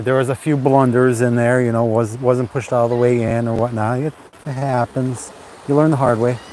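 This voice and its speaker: A man speaks at a moderate pace with monotone, flat intonation. Noticeable background noise runs underneath. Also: medium pitch for a man. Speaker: YouTuber live-streaming. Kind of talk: casual live stream chat. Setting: outdoors at the beach. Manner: soft-spoken; halting.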